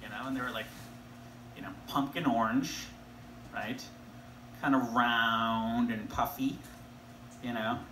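A man speaks at a moderate pace with ordinary pitch variation, in audible room echo with light background noise. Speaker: comedian or storyteller. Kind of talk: stand-up comedy reading. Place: stage. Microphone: camera far.

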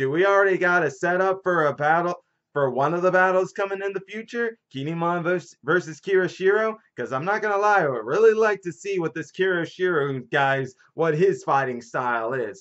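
A man at a fairly quick pace against a quiet background. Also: hardly any pauses. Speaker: manga reviewer. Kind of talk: casual vlog chat. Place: home room. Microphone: webcam.

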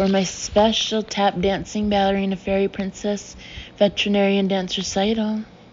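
The passage is read out plainly. Nothing more is added to the reading.

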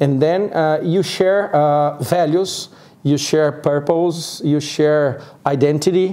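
A man speaks at a very slow pace with a Portuguese accent. His fairly high pitch carries fairly even intonation and very even loudness. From Brazil, Sao Paulo. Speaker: co-working community organizer; guest. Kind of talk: interview; interview answer. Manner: halting. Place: studio. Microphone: lapel.

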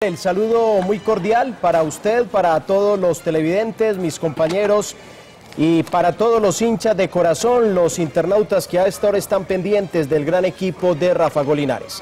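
A man talks at a moderate pace with a high pitch and ordinary pitch variation. Light background noise is present. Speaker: sports commentator. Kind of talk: commentary. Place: studio. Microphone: lapel.

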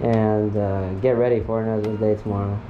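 There is music in the background as a man speaks. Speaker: vlogger. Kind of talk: casual vlog chat. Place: home room. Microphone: phone near.

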